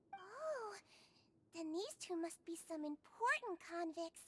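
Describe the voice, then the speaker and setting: A woman's put-on character voice, extremely high and warm and gentle in tone, with lively intonation, a fairly slow pace and a dry, close sound with no echo. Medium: video game. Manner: sweet, warm, gentle.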